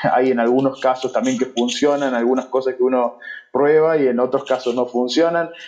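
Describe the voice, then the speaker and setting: This is a man with a normal speaking voice at a medium pitch. He keeps a moderate pace and fairly even intonation. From Argentina. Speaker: SEO specialist. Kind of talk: interview.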